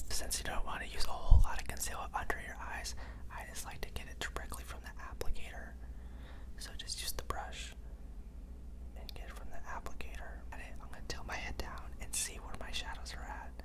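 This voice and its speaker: This man talks at a fairly quick pace with big swings in loudness, against noticeable background noise. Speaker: makeup school student and brand ambassador. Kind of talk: ASMR makeup tutorial. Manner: whispered, soft-spoken.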